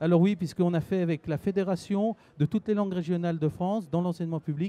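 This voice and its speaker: A man talks with fairly level intonation. His pitch sits high. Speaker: regional language teachers' association president. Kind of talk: interview answer. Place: hall. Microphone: handheld.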